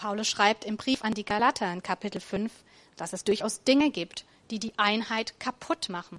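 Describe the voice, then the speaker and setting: Her pitch varying in an ordinary way, a woman talks at a moderate pace. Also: fairly high pitch for a woman. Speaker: preacher. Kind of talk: sermon in a church service, warm and conversational, with a closing prayer. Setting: church. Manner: animated, enthusiastic and upbeat; casual, plain-spoken, encouraging, with a rhetorical 'oder?'.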